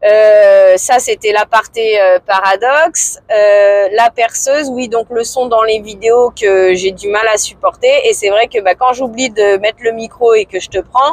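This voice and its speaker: Speaking very slowly with hardly any pauses, a woman keeps a fairly even intonation at a fairly high pitch. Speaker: vlogger. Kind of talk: casual vlog monologue. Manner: loud. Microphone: filmed without external mic.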